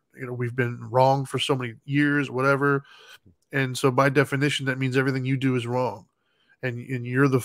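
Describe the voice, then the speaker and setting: On a very clean recording with a silent background, a man talks at a fairly quick pace. His intonation is monotone and flat. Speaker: podcast co-host. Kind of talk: casual chat. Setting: live video stream. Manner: analytical.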